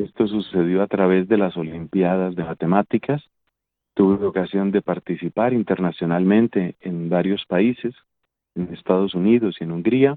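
A man with a Bogotá accent and a very deep, low pitch, ordinary pitch variation, and a moderate pace. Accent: Colombian Spanish (Bogotá). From Colombia (Bogotá). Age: 50s. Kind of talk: interview.

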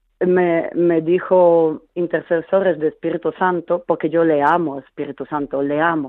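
A woman speaks at a fairly slow pace with fairly low pitch. Her intonation stays fairly even, with hardly any pauses. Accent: Polish. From Poland. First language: Polish (speaking Spanish). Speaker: caller. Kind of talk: testimony.

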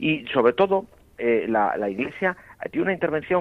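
A man with a normal speaking voice talks at a fairly quick pace with lively intonation. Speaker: priest and bioethics professor. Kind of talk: radio panel discussion. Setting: phone call. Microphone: telephone line.

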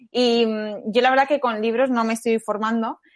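The sound is dry and close with no echo, in a very clean recording with a silent background. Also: woman. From Spain, Madrid area. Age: 20s. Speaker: journalism student. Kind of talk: faith testimony interview. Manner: halting.

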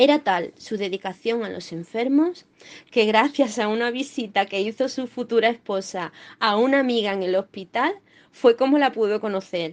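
A woman talks at a moderate pace in a fairly high voice with ordinary pitch variation. It is a normal speaking voice, set against a quiet background. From Málaga, Andalusia. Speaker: doctor. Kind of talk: scripted reading.

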